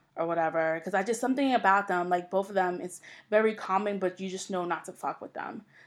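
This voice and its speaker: A woman's medium-pitched voice in a New York accent at a fairly quick pace, on a very clean recording with a silent background. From New York, Long Island. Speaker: podcast host. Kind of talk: solo podcast intro monologue. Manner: casual, with fillers.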